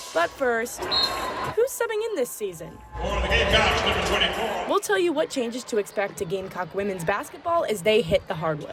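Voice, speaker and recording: Long, frequent pauses at a moderate pace, with music in the background. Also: woman. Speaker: student news anchor. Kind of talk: TV news anchor read. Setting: studio. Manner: clear, conversational.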